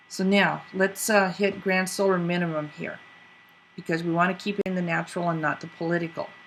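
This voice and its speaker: Pitched fairly low, a woman with an unremarkable speaking voice talks at a moderate pace with fairly even intonation. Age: 60s. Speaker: video podcast host. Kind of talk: casual commentary.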